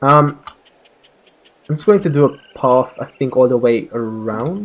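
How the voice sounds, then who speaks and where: A man speaks at a medium pitch with lively intonation. His pace is fairly slow. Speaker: gaming video creator. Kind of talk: casual let's play commentary.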